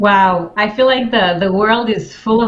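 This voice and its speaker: Over noticeable background noise and audible room echo, a woman speaks with an Israeli accent and ordinary pitch variation. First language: Hebrew. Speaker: life coach. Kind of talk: interview. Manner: halting.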